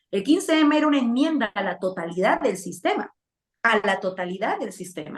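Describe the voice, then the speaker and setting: Her pitch swings very widely as this woman talks at a very fast pace. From Peru, Lima. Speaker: political commentator. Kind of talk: interview.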